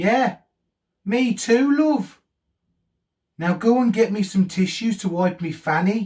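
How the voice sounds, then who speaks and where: A man does a put-on character voice in a Cockney accent, drawling with a high pitch. His pace is fairly slow, with long, frequent pauses. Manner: drawling, cheeky.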